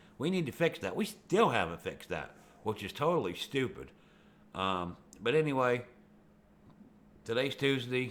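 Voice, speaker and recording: Using vocal fry, a man speaks at a medium pitch and a moderate pace, with very wide pitch swings and long, frequent pauses. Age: 60s. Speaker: video blogger. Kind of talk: casual monologue. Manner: rambling, conversational with fillers.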